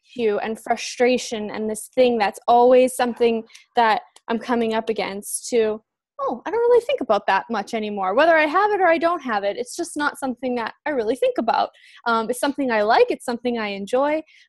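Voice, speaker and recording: High-pitched female speech at a fairly quick pace, with lively intonation, dry sound with no echo and a quiet background. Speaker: call host, facilitator. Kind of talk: casual webinar intro chat. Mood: warm, enthusiastic.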